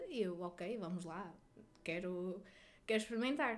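A woman keeps a moderate pace while her pitch swings very widely. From northern Portugal, Resende. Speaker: nurse. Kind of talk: interview.

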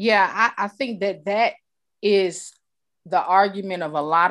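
A woman speaks at a fairly slow pace in an unremarkable speaking voice, with ordinary pitch variation. The recording is very clean, the background silent. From New York. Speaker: podcast host. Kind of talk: interview.

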